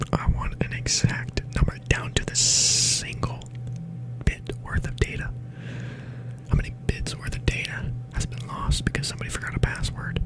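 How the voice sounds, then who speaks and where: A man whispers with long, frequent pauses against noticeable background noise. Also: moderate pace. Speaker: ASMR creator. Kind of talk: ASMR soft-spoken questions role play. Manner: soft-spoken.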